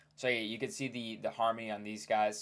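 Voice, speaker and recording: A man's fairly low voice in a flat monotone. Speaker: looksmaxxing content creator. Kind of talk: casual commentary on facial analysis. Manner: fast; casual, filler-heavy.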